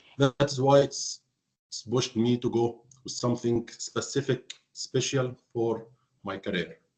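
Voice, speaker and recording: A man with an Arabic accent speaks at medium pitch and a fairly slow pace, somewhat breathy, with fairly even intonation and long, frequent pauses. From Egypt, Alexandria. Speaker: hotel finance professional. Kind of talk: interview. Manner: halting.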